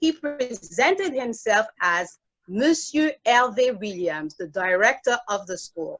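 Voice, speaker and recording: At a very slow pace, a woman speaks at a high pitch with very wide pitch swings. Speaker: toastmasters club member. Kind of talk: prepared speech.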